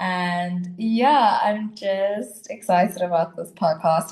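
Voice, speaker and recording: A woman's somewhat breathy voice, fairly low in pitch, moves with ordinary pitch variation. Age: 20s. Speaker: podcast co-host. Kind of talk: podcast introduction.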